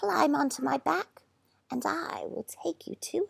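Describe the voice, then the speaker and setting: Using a put-on character voice, a female-sounding speaker talks fairly slowly in a raspy, high pitch. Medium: read story. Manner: calm, instructive.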